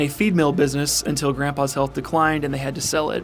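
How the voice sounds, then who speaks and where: With music in the background, a man with a fairly high pitch talks at a very fast pace. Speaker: podcast host. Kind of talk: podcast intro read.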